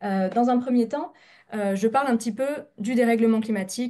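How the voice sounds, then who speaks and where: This woman has a dark, mellow tone and a fairly high pitch. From France. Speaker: scientist, researcher. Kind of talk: scientific presentation. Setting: video call, webinar. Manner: fast; hesitant, many filler sounds.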